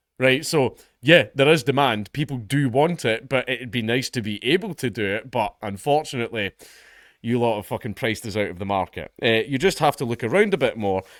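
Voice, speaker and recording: Speaking with a Scottish accent, a man talks at medium pitch and a fairly quick pace with lively intonation, the sound dry and close with no echo in a very clean recording with a silent background. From Scotland. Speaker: comedian and commentator. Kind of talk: reaction commentary reading an article. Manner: animated.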